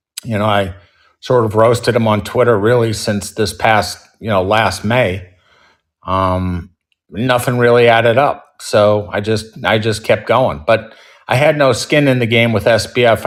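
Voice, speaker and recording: With an unremarkable speaking voice, a man talks at a moderate pace and fairly low pitch, his intonation fairly even, on a very clean recording with a silent background. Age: 60s. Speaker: short seller, investor. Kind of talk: interview.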